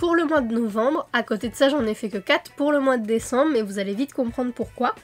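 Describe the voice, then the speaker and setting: At a moderate pace, a woman talks in a high pitch. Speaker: coloring YouTuber. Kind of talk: casual monthly review vlog. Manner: hesitant, many fillers.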